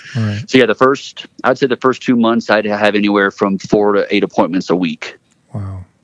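This is an unremarkable speaking voice, a man's, fairly low in pitch with ordinary pitch variation. He keeps a moderate pace, and the sound is dry and close with no echo. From Florida (Gainesville), born in Texas. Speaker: military veteran and Paralympian. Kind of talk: interview.

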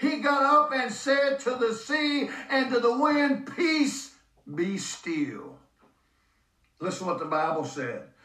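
An extremely high-pitched man in a raised, projected voice, very slow pace and very wide pitch swings. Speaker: preacher. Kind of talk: sermon. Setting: church. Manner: emphatic, urgent, preacher in full flow.

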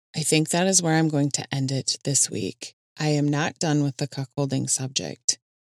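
A woman's very deep, low voice with a Minnesotan accent, at a moderate pace with ordinary pitch variation, dry and close with no echo, in a very clean recording with a silent background. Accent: Minnesota. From Minnesota, US Midwest. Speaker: podcast host. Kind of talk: casual solo podcast monologue.

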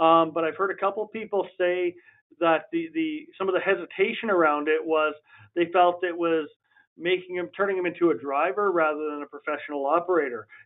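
With a Western Canadian accent, a man talks at a fairly quick pace in a high voice with fairly even intonation. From Alberta, Canada. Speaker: municipal fleet manager, former oil worker. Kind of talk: interview. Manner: hesitant, many fillers.

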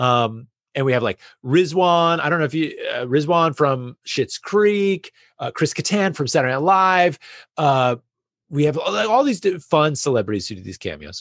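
An unremarkable speaking voice with lively intonation comes through dry and close with no echo over a quiet background. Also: man, fairly high pitch for a man, moderate pace. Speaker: podcast guest and creator. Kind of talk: casual interview conversation.

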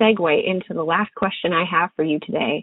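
This woman has a normal speaking voice. She moves at a moderate pace with ordinary pitch variation. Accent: American. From Montana. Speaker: podcast host and fishing guide. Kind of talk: interview; scripted narration.

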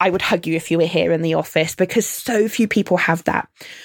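A woman speaks with vocal fry and ordinary pitch variation. The sound is dry and close with no echo, a very clean recording over a silent background. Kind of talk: guided meditation.

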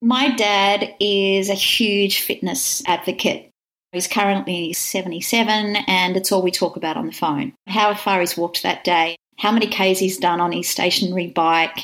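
A woman with an Australian accent, medium pitch and fairly even intonation, at a fairly slow pace. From Wagga, country New South Wales, Australia. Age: 50s. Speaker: Pilates teacher and studio owner. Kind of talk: interview conversation.

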